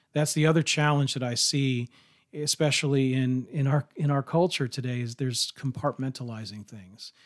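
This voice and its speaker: On a very clean recording with a silent background, a man speaks at a moderate pace in an ordinary speaking voice, medium in pitch with ordinary pitch variation and big swings in loudness. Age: 40s. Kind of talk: casual religious discussion.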